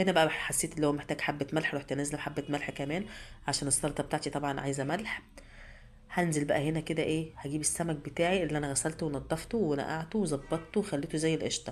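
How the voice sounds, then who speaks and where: A woman speaks at a fairly quick pace with an Egyptian accent. Her pitch is very deep and low, and her intonation stays fairly even. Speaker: cooking channel host. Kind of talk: cooking tutorial. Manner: halting, repeats words.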